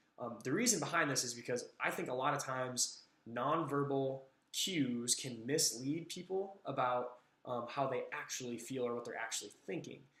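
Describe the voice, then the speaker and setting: A man with a bright, sharp tone talks at medium pitch with ordinary pitch variation in a room with audible echo. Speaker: teacher doing graduate coursework. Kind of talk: recorded class assignment monologue. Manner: fast; casual with many fillers. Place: home room. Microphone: webcam.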